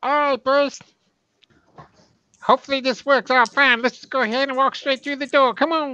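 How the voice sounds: A put-on character voice that sounds female, pitched high for a woman. She speaks at a moderate pace with long, frequent pauses.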